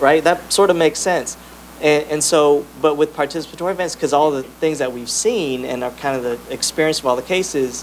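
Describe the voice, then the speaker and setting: Man at a fairly quick pace, ordinary pitch variation, with light background noise. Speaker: presenter. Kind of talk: panel answer to audience question. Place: meeting room. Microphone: handheld.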